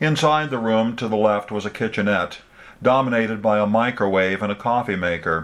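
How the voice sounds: Pitch shifts in an ordinary way across a natural reading voice.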